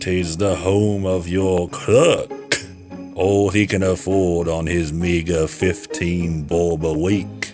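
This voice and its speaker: A man's put-on character voice, very deep and low, at a very slow pace over clear background music. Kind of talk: read story. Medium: read story.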